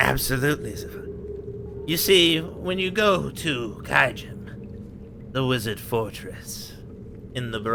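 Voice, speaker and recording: A man performs a put-on character voice at medium pitch and a fairly slow pace. Long, frequent pauses break it up, with clear background noise behind him. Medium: actual play. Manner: pompous, rambling.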